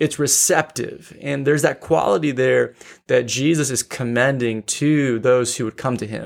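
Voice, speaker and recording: In an ordinary speaking voice, a man talks at a moderate pace and a medium pitch with ordinary pitch variation. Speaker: podcast co-host discussing theology. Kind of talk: casual theological discussion.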